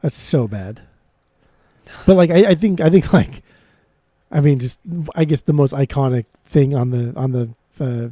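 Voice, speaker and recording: A man with a fairly high pitch and a dark, mellow, somewhat breathy tone talks at a moderate pace with long, frequent pauses. His intonation is lively, and the sound is dry and close with no echo. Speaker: podcast co-host. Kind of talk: casual chat. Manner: animated; halting.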